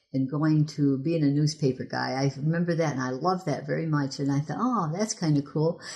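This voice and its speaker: The voice has a dark, mellow tone and an Upper Midwest accent. It moves at a moderate pace over a quiet background. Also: woman. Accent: Upper Midwest American. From Michigan. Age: 70s. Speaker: local history volunteer. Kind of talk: oral history interview.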